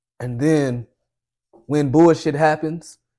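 A man speaks with a dark, mellow tone. The background is quiet. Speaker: podcast co-host. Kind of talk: casual podcast chat. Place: home room.

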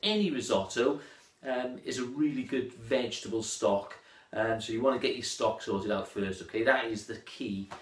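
A man speaks with audible echo bouncing around the room. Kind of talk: tutorial. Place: kitchen. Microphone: phone near.

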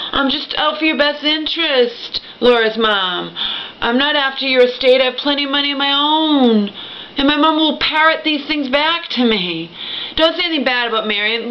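The woman's voice is high in pitch with ordinary pitch variation. She speaks at a moderate pace. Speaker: vlogger telling a family story. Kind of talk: emotional personal vlog rant. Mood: upset, aggrieved, pleading. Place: home room. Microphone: webcam.

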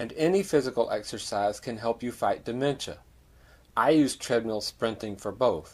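In an ordinary speaking voice, a man talks at a moderate pace and a medium pitch with lively intonation. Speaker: masters sprinter. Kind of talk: personal story narration.

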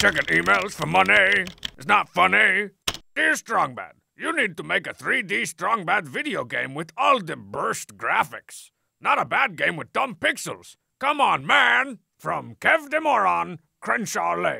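The speaker uses a put-on character voice at a fairly slow pace and middle pitch. The recording is very clean, with a silent background. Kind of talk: comic trailer hype. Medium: game stream. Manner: brash, sarcastic, bombastic.

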